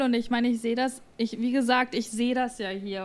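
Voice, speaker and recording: This woman has a fairly high pitch and a moderate pace. Her intonation stays monotone and flat. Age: 20s. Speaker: influencer and podcaster. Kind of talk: casual chat.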